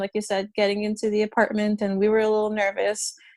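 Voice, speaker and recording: Talking very fast, a woman with a Russian accent uses a fairly high pitch. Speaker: podcast guest, friend of host. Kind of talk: casual chat.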